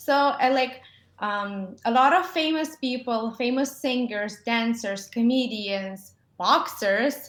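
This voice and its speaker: In a Ukrainian accent, a woman speaks at a very slow pace with a high pitch and lively intonation. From Ukraine. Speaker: dentist. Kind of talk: interview. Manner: halting, many fillers.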